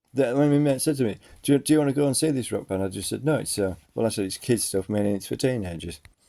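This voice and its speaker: A man with an English accent and a dark, mellow tone, at a very fast pace with ordinary pitch variation, on a very clean recording with a silent background. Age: 50s. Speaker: vlogger. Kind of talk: personal monologue. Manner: halting.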